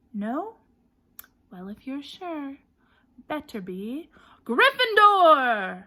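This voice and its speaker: In a put-on character voice, a woman speaks very slowly at a high pitch, with very wide pitch swings and long, frequent pauses. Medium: read story. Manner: shrewd, musing.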